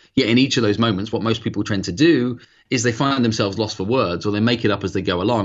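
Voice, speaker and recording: Very fast speech in a British accent with ordinary pitch variation. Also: man. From UK. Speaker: sales trainer and author. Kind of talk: interview.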